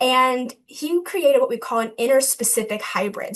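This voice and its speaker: With an American accent, a woman speaks at a high pitch. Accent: Southern US, strong today. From US South. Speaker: graduate student researcher; presenter. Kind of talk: lecture. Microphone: webcam.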